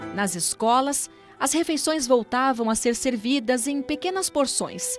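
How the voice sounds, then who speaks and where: With music in the background, a woman talks at a fairly slow pace in a high voice. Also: lively intonation. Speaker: documentary narrator. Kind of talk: documentary narration.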